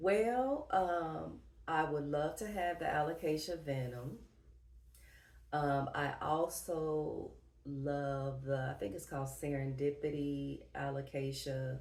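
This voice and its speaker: A woman with a Southern US accent and a very deep, low voice speaks at a very slow pace with ordinary pitch variation, in a room with audible echo. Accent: Southern twang. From US Midwest, Dayton, Ohio. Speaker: plant YouTuber. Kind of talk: casual Q&A vlog.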